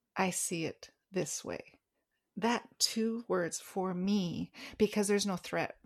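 A soft-spoken woman with a medium-pitched voice talks at a very slow pace. Her intonation is fairly even, and the recording is very clean with a silent background. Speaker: executive coach and author. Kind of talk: casual interview conversation.

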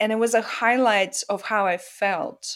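A woman speaks with a Russian accent. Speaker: author and poet. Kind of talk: interview. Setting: video call.

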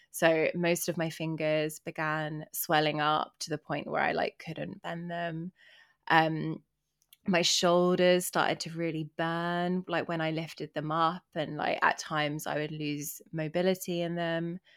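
Flat, monotone delivery comes at a fairly slow pace in an English accent. The recording is very clean, with a silent background. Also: woman, fairly low pitch for a woman. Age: young. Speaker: podcast co-host. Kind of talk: casual chat.

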